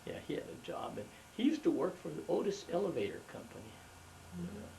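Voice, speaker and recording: A man with an American accent talks at a very fast pace, his loudness swinging widely. Audible room echo fills the space around him. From Los Angeles, US West. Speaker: family elder interviewed about his life. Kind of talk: oral history interview. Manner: halting, many fillers and restarts.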